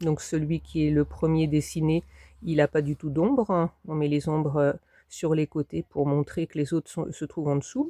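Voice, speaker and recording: Recorded with a quiet background and a dry, close sound with no echo, a woman speaks at a fairly slow pace in a very deep, low pitch. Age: 60s. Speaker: craft hobbyist YouTuber. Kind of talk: tutorial. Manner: hesitant, many fillers.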